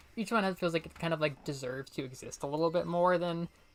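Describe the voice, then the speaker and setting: A woman with an American accent, a fairly low pitch, an animated tone and a fairly quick pace, with music in the background. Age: 20s. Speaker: streamer. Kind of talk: casual chat.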